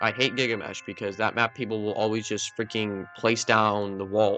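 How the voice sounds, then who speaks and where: A man with a medium pitch over music in the background. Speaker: gaming YouTuber. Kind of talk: casual game review commentary. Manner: casual, filler-heavy; loud.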